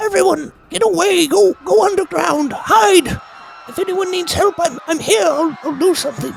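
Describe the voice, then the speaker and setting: A man shouts in a put-on character voice, pitched extremely high. He keeps a moderate pace. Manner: yelling, urgent.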